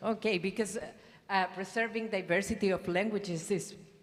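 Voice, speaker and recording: Moderate pace with a Spanish accent and ordinary pitch variation. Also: woman. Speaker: government official. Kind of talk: panel discussion.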